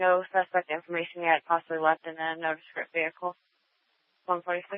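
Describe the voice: At a fairly quick pace and with little pitch movement, the voice comes through dry and close with no echo.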